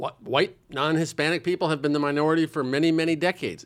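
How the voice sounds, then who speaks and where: A man talks with an American accent. His pitch sits fairly high. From US Midwest, Omaha, Nebraska. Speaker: writer and magazine founder. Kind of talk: casual interview. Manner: halting.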